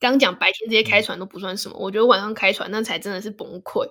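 At a very fast pace, a woman speaks in a bright, sharp tone at a fairly high pitch with ordinary pitch variation. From Taiwan, Hsinchu. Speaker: podcast host. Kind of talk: casual chat.

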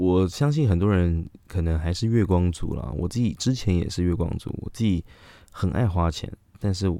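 On a very clean recording with a silent background, a man with a very deep, low pitch speaks in a dark, mellow tone at a moderate pace with ordinary pitch variation. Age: 30s. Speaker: podcast host. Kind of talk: casual monologue. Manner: halting, many fillers.

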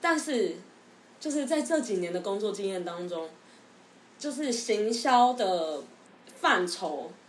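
A woman speaks at a very slow pace in a fairly high pitch, with very wide pitch swings and long, frequent pauses. Noticeable background noise and audible room echo fill the recording. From Taiwan. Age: 20s. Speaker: former marketing worker, future UK grad student. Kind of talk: casual chat.

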